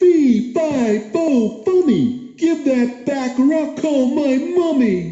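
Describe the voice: In a put-on character voice pitched high, the speaker goes at a very slow pace with hardly any pauses, with slight echo.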